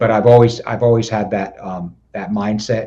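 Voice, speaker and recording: With an American accent, a man speaks at a moderate pace in a fairly low pitch and a dark, mellow tone. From southern New Jersey. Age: 60s. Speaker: police chief. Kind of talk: podcast interview. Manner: halting, many repetitions and fillers.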